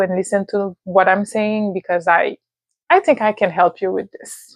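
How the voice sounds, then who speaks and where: A woman with a Haitian accent speaks at a fairly slow pace, the sound dry and close with no echo. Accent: Haitian accent when speaking English. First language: Haitian Creole and French. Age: adult, university graduate. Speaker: vlogger, language and immigration advice. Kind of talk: personal advice monologue. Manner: hesitant, many fillers.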